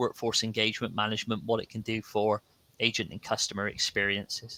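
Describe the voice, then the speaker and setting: With a West Country accent, a man talks at a fairly quick pace in a fairly low, bright and sharp voice, his intonation monotone and flat, the sound dry and close with no echo. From South West England, Bristol. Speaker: sales engineering manager, panelist. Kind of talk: live panel webinar.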